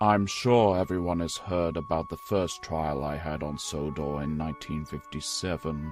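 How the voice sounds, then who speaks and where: Against clear background music, a man uses a put-on character voice, very deep and low, at a moderate pace. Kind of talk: audio drama dialogue. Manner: cold, sardonic.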